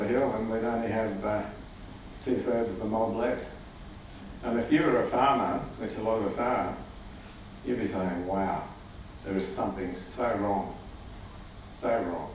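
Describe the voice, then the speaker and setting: A man at a medium pitch keeps a moderate pace, with fairly even intonation and long, frequent pauses. Noticeable background noise runs underneath. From Australia. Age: 60s. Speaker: farmer and rancher. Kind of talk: conference talk to audience. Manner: casual, hesitant.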